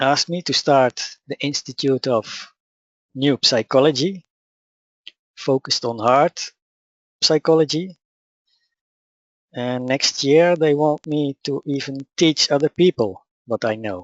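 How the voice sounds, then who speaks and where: With a Dutch accent, a man speaks at a fairly slow pace in a fairly high pitch, using ordinary pitch variation and long, frequent pauses. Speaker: spiritual teacher. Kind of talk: webinar presentation. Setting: online webinar.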